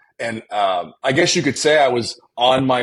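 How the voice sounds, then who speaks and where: A man in an Ontario accent, with ordinary pitch variation. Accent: Canadian (Ontario). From Canada, Windsor, Ontario. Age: 40s. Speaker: entrepreneur. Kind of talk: casual interview chat. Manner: halting, repeats words.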